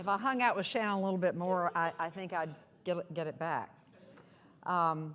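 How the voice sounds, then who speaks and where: A woman with an American accent speaks at a fairly low pitch and a moderate pace. Her pitch varies in an ordinary way, and she takes long, frequent pauses. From US South. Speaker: nonprofit executive. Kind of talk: keynote speech.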